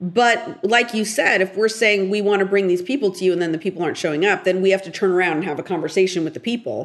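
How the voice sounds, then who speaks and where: Speaking very fast with an American accent, a woman keeps to a medium pitch. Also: ordinary pitch variation, hardly any pauses. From US West Coast, Portland, Oregon. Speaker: TV writer and director. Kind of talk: interview.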